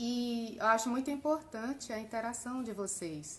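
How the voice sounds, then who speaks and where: Soft-spoken and fairly slow, a woman talks with ordinary pitch variation. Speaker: live stream host. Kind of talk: casual chat.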